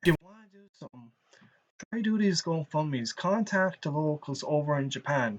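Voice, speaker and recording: Speaking with a rural Irish accent, a man has a fairly high pitch and ordinary pitch variation. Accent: Irish, rural bogger tone. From Ireland. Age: 30s. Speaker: streamer. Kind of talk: live stream commentary. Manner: animated.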